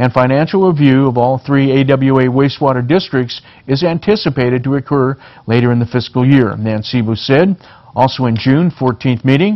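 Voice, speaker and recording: A man speaks in an unremarkable speaking voice with an American accent, at a medium pitch and fairly quick pace. His loudness stays very even, and his pitch varies in an ordinary way. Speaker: local TV news anchor. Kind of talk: local TV newscast reading headlines and stories.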